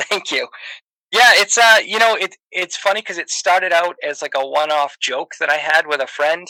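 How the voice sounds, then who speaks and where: A man with an American accent uses a raised, projected voice in a high pitch with a bright, sharp tone. His pitch variation is ordinary, and the sound is dry and close with no echo. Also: moderate pace. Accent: Boston accent, toned down. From Boston, Massachusetts. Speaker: comedian and podcaster. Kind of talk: casual chat. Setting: online voice chat. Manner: hesitant, many fillers.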